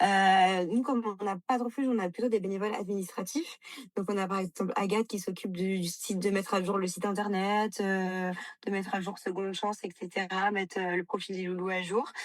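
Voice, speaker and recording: Her pace fairly quick, a woman speaks at medium pitch with fairly even intonation. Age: 20s. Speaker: animal rescue founder and vet assistant. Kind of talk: interview. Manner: hesitant, many fillers.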